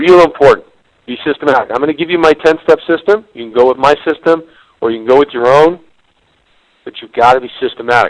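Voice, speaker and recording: A man at a very fast pace and fairly high pitch, with big swings in loudness, long, frequent pauses and a dry, close sound with no echo. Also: ordinary pitch variation. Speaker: business consultant and webinar presenter. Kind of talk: webinar presentation. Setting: online webinar.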